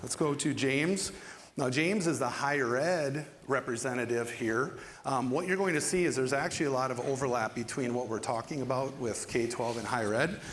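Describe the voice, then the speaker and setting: With audible room echo behind him, a man of medium pitch talks at a fairly quick pace with ordinary pitch variation. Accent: Minnesotan. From Minnesota. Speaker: panel moderator, ed tech specialist. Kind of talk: panel discussion hosting. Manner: casual with frequent fillers.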